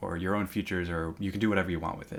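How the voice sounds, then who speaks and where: A man talks in a Midwestern American accent. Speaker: university lecturer. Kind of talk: lecture. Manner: casual, many fillers.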